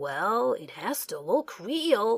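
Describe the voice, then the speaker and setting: A woman does a put-on character voice with a fairly high pitch. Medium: read story. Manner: declaiming, confident.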